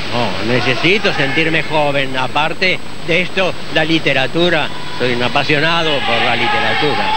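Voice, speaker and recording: A man at a moderate pace, the sound dry with no echo, under loud background noise. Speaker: swimmer. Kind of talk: interview answer. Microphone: handheld.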